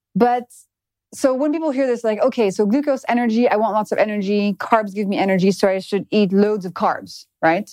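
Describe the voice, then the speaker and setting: A woman's dark, mellow voice, fairly high in pitch, with ordinary pitch variation and a fairly quick pace, on a very clean recording with a silent background. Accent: French. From France. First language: French. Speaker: biochemist and nutrition author. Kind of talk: casual interview. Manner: lively, laughs easily.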